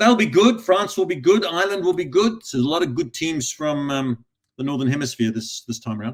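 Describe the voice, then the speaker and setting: A man talks at a very fast pace with an Australian accent. His high pitch swings very widely. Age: 60s. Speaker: recruitment industry advisor and author. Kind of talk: podcast interview.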